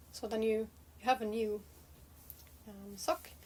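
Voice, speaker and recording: Noticeable background noise runs through the clip. A woman speaks at a fairly high pitch. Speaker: knitting vlogger. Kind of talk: casual chat. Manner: halting, many fillers.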